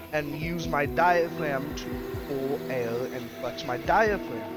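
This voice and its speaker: Over background music, a man speaks at a very slow pace with ordinary pitch variation. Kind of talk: casual chat.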